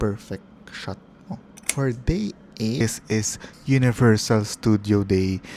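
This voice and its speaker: A man has a dark, mellow tone and a fairly low pitch. His intonation stays fairly even. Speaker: travel vlogger. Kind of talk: voiceover narration. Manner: casual, conversational.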